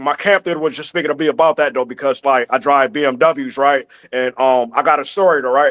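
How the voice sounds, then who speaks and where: The pace is fairly quick. The sound is dry and close with no echo, on a very clean recording with a silent background. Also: man. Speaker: caller on religious show. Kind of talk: casual storytelling. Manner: loud.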